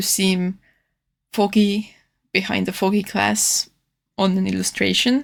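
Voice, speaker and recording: This woman talks with a non-native accent. She keeps a moderate pace. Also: very clean recording, silent background. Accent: non-native English, own R's and S's. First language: not English. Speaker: artist. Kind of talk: casual narrated art tutorial voiceover. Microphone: new microphone, re-recorded audio.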